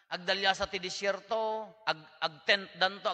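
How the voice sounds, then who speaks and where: Using a raised, projected voice, a man speaks at a very slow pace with a high pitch and a bright, sharp tone. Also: quiet background. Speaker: priest giving homily. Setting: church. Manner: conversational, animated, jokes and laughs; mixes Ilocano, Tagalog and English. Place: church. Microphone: podium.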